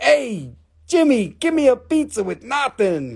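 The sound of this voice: A woman puts on a character voice in a New York accent, pitched high. She delivers it at a fairly slow pace.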